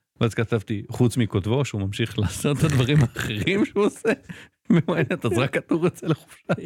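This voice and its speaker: Somewhat breathy speech at a moderate pace with lively intonation, in a dry, close sound with no echo. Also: man. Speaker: tech journalist, co-host. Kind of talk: casual chat. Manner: halting, many fillers.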